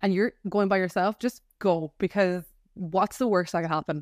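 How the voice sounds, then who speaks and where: A woman with an Irish accent talks at a fairly quick pace and a medium pitch. The recording is very clean, dry and close, with no echo and a silent background. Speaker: podcast co-host. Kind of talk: casual chat.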